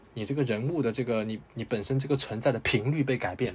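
A man rushes through his words very quickly while music plays behind him. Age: 20s. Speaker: film reviewer. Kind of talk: casual chat.

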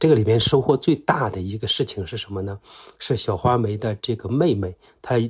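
The recording is very clean, with a silent background. A man speaks at a fairly low pitch, somewhat breathy. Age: middle-aged. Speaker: former investigative journalist. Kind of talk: personal account.

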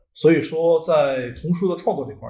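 A man speaks at a fairly quick pace in a somewhat breathy voice with a fairly high pitch. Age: 30s. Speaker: children's author. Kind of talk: casual interview chat. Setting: non-studio room with reduced sound quality.

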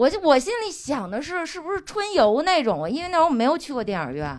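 A woman talks at a very fast pace, her pitch swinging very widely. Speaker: audience member. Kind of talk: personal anecdote.

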